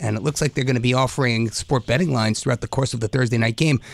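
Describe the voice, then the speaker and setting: Recorded dry and close with no echo, a man at medium pitch has an unremarkable speaking voice and ordinary pitch variation. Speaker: podcast host. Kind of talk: interview conversation.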